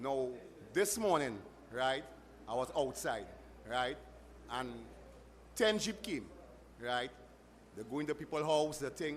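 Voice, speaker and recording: A man with a Trinidadian accent and a fairly high pitch, lively in intonation, at a fairly slow pace with long, frequent pauses and audible room echo. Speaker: audience member at town hall. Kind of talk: public question at meeting. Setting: community hall with audience. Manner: halting.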